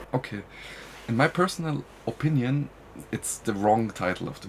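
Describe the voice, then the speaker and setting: Speaking fairly quickly with a German accent, a man uses a medium pitch. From Germany. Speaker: podcast guest. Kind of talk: interview. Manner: halting.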